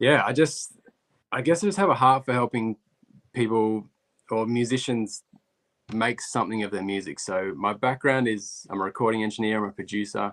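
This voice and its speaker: A man with an Australian accent at a medium pitch, moderate pace and ordinary pitch variation, with long, frequent pauses and a dry, close sound with no echo. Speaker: recording engineer and producer. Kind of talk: live stream interview. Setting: live video stream.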